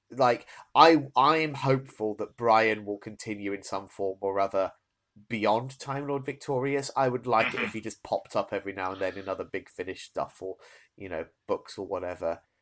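On a very clean recording with a silent background, a man speaks in an ordinary speaking voice at a fairly low pitch, a moderate pace and ordinary pitch variation. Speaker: podcast host. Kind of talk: casual chat.

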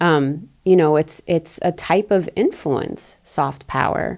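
A woman with an ordinary speaking voice talks at a fairly low pitch with fairly even intonation, on a very clean recording with a silent background. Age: 40s. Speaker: former CIA officer, podcast co-host. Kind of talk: casual chat.

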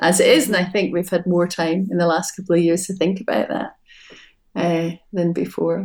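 A woman talks in a Scottish accent at a fairly low pitch, with vocal fry. Her pace is moderate and her intonation fairly even. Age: 50s. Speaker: novelist. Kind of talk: interview.

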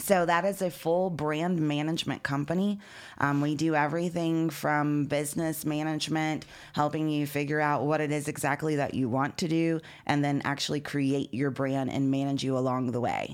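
Very deep, low woman's voice with an American accent, moderate in pace, fairly even in intonation and very even in loudness, on a very clean recording with a silent background. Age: 40s. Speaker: DJ. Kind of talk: casual chat.

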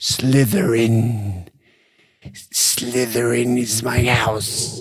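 A man uses a put-on character voice, raspy and at medium pitch. He talks at a very slow pace. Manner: hissing, creepy.

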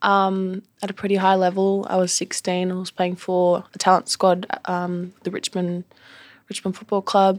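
A woman with an Australian accent at medium pitch, dry and close with no echo, in a very clean recording with a silent background. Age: 20s. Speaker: boxer. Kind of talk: interview. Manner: halting.

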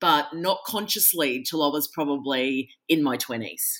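A moderate pace with an Australian accent on a very clean recording with a silent background. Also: woman. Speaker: author. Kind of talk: casual interview.

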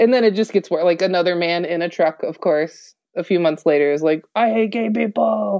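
A woman with a normal speaking voice, fairly low in pitch, at a fairly quick pace with ordinary pitch variation and hardly any pauses. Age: 30s. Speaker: tattoo artist. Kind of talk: casual interview chat.

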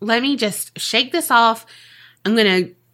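The passage is read aloud in a natural voice.

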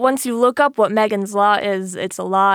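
With an ordinary speaking voice, a woman talks at a moderate pace and medium pitch, with ordinary pitch variation. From Florida. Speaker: podcast co-host. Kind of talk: casual chat.

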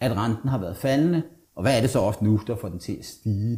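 At a moderate pace, a man with medium pitch and a dark, mellow tone sounds somewhat breathy, his pitch varying in an ordinary way. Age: 50s. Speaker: economist. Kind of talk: interview.

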